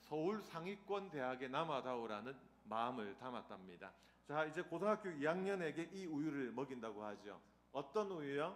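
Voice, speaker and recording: Speaking with a Busan accent at a fairly high pitch, a man swings his pitch very widely, and the room echo is audible. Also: moderate pace. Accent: Gyeongsang (Busan) dialect. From Busan, South Korea. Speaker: seminary professor, guest preacher. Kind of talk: sermon. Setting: church with congregation. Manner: humorous, interactive with audience.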